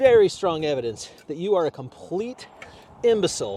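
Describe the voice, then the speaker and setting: A man speaks with very wide swings in pitch. Noticeable background noise runs underneath. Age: old. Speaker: podcast host. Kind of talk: casual talk to camera. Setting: outdoors.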